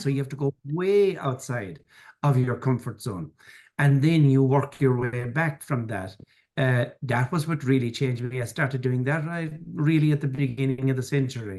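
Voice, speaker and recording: Speaking with an Irish accent, a man uses a fairly high pitch, ordinary pitch variation and a somewhat breathy quality. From Ireland, rural farming background. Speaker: financier and business mentor. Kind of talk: podcast interview.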